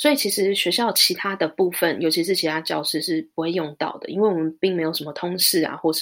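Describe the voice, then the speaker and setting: Her pitch medium, a woman speaks at a fairly quick pace. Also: very clean recording, silent background. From Taiwan. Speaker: high school teacher. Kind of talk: casual interview chat. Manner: hesitant with many fillers.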